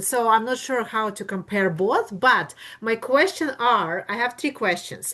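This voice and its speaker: Speaking at a moderate pace with hardly any pauses, a woman has a fairly high pitch and ordinary pitch variation. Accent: Russian. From Russia. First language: Russian. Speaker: attendee asking questions. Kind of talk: Q&A questions.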